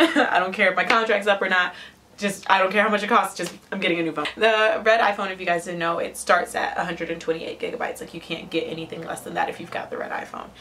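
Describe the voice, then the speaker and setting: With an American accent, a woman talks at a very fast pace, her loudness swinging widely and her pitch varying in an ordinary way, over noticeable background noise. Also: medium pitch for a woman. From Ohio, Cleveland area. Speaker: lifestyle vlogger. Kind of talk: casual vlog. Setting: home attic. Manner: casual, filler-heavy.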